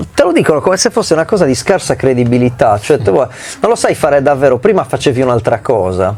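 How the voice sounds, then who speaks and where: Speaking at a very fast pace with an animated tone, this voice swings very widely in pitch yet keeps its loudness very even over noticeable background noise. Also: man, medium pitch for a man. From Sardinia, Italy. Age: 40s. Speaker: musician and rapper. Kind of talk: interview. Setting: recording studio.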